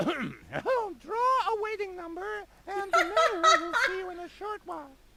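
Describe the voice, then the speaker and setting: The speaker uses a put-on character voice pitched extremely high. The pace is fairly slow. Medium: video game. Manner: curt, throat-clearing.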